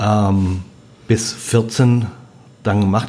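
Fairly low male pitch with ordinary pitch variation. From Germany, moved around (Bremen area, Lüneburger Heide, Sauerland). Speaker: food and wine writer, former restaurateur. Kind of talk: casual chat. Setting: at guest's kitchen table. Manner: animated.

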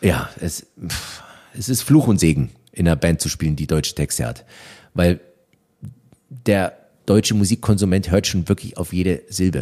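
A man speaks with a very deep, low pitch, vocal fry and a dark, mellow tone. His intonation is lively, his pace moderate, with long, frequent pauses. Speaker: rock band drummer. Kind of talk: casual interview chat. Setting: in-person recording in Berlin.

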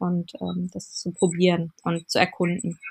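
On a very clean recording with a silent background, a woman speaks in a medium pitch. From Berlin. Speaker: fashion designer and platform founder. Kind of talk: casual interview.

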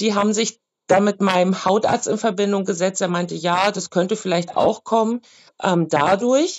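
This woman has an ordinary speaking voice at medium pitch. She talks at a moderate pace with fairly even intonation. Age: 30s. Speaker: market vendor with vaccine injury. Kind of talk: interview testimony. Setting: remote video call.

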